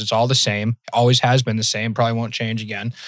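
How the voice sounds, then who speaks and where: A man is speaking. He has a slight Massachusetts accent. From Massachusetts, near Worcester. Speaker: podcast host. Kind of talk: casual interview chat.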